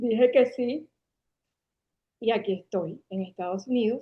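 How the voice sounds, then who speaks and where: A woman's fairly high-pitched voice at a very slow pace, with ordinary pitch variation. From Venezuela, Caracas. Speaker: marketing agency founder. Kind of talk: interview conversation.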